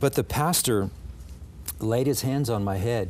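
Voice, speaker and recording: Over light background noise, a man with an American accent speaks in a somewhat breathy voice with ordinary pitch variation. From Southern California, Los Angeles County; California. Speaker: pastor; interview guest. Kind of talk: testimony. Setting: studio. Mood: earnest, warm. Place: studio. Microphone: lapel.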